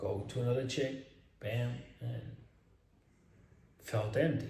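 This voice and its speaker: A man with a Spanish accent at a very slow pace, amid audible room echo. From Spain. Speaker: self-improvement influencer. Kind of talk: casual vlog monologue. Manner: animated; halting.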